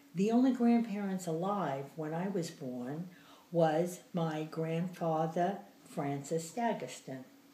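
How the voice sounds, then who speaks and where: A woman's fairly low, somewhat breathy voice at a very slow pace, with audible room echo. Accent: American. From New Jersey and the Bronx, New York. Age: 80s+. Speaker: grandmother interviewee. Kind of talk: interview.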